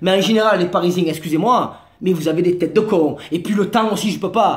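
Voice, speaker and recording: A man with a Marseille accent at a very fast pace, ordinary pitch variation, noticeable background noise and audible room echo. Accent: southern French (Marseille). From Marseille, southern France. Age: 30s. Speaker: comedian / vlogger. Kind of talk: comic monologue vlog. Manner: animated.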